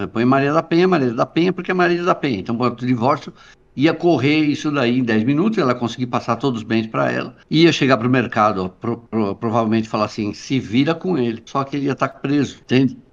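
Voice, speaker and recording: A man with an ordinary speaking voice, medium pitch, fairly quick pace and hardly any pauses. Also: ordinary pitch variation, quiet background. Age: 60s. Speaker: journalist. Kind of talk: interview conversation.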